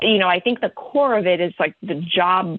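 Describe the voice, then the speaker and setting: A woman with an ordinary speaking voice, fairly low in pitch, with ordinary pitch variation at a fairly quick pace. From Virginia, US (moved from the Philippines at 10). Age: 40s. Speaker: marketing executive. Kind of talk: interview.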